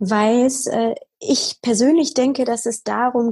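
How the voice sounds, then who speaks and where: A woman with a normal speaking voice talks at a fairly slow pace. Her pitch varies in an ordinary way. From Bavaria, near Munich. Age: 20s. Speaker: podcaster. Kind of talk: interview.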